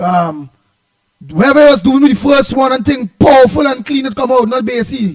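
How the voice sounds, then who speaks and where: A man with a Trinidadian accent, his pitch extremely high and his intonation lively. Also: moderate pace. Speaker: talk show host. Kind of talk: talk radio discussion. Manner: halting, hesitant.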